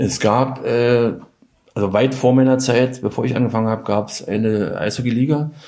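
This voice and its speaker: Moving at a moderate pace, a man talks in a plain, everyday voice with a medium pitch and fairly even intonation. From Weißwasser, Saxony (East Germany). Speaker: former ice hockey player, doping victim. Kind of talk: interview.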